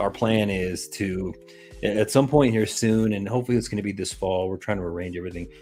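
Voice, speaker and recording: With music behind him, a man talks at a moderate pace. His voice is fairly low, with fairly even intonation. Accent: American. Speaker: crypto project owner. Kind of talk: live stream interview. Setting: live stream.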